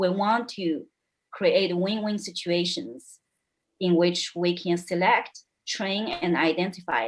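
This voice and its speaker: A woman speaks with a non-native accent at a medium pitch. Her pace is fairly slow. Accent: foreign. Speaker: panelist. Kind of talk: panel debate.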